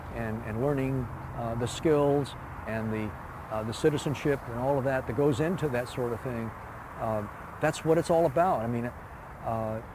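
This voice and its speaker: A man talks with ordinary pitch variation, leaving long, frequent pauses. Room echo is audible. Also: medium pitch for a man, moderate pace. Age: 70s. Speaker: retired park designer. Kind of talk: interview. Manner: halting, many fillers and repeats.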